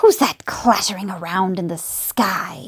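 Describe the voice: Putting on a character voice full of hissing and growling, a woman speaks at medium pitch and moderate pace with ordinary pitch variation.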